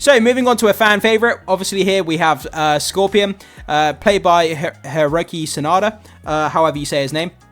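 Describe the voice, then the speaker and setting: A man speaks with an English accent and ordinary pitch variation. Music plays in the background. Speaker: video commentator. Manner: casual, hesitant with fillers.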